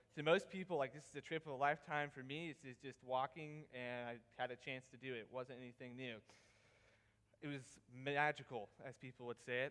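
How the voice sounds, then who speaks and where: Speaking with a Southern US accent at a fairly quick pace, a man uses a medium pitch and fairly even intonation, while his loudness swings widely. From South Carolina, Pickens area. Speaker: student presenter. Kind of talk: presentation.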